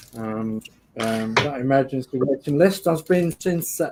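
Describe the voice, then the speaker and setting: Noticeable background noise sits behind a man of medium pitch speaking in a Geordie accent. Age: 50s. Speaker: model club show host. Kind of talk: casual chat.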